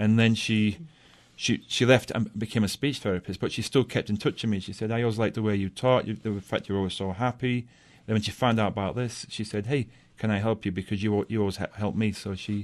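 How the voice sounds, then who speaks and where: A man speaks very fast in a strong English accent. His intonation stays fairly even over a quiet background. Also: fairly low pitch for a man. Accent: thick British (English). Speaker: science teacher. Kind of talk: radio interview. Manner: halting, repeats words.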